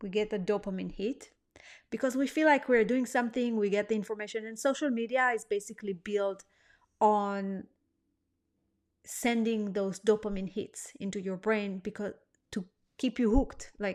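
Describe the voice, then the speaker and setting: In a non-native accent, a woman speaks at a moderate pace with a fairly high pitch and fairly even intonation. She pauses long and often. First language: not English. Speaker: weight-loss coach. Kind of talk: online course lesson. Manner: hesitant, many fillers.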